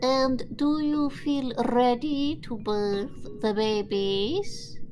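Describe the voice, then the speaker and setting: In a cartoonish character voice pitched high, a woman speaks at a very slow pace over clear background noise. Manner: calm, businesslike.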